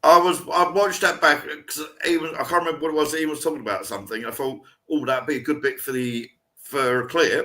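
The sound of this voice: A man's bright, sharp voice, fairly high in pitch, at a fairly quick pace, with audible room echo. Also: ordinary pitch variation.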